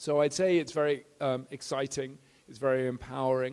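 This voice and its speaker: The speaker talks at a moderate pace with monotone, flat intonation. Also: man. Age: 50s. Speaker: entrepreneur and former military officer. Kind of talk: panel discussion answer.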